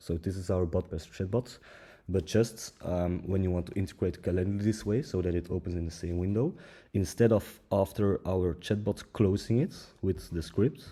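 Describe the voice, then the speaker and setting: At a moderate pace, this somewhat breathy voice with a dark, mellow tone and ordinary pitch variation speaks with a non-native accent on a very clean recording with a silent background. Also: man, very deep, low pitch for a man. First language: not English. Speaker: tech tutorial creator. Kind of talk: tutorial. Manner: halting, many fillers.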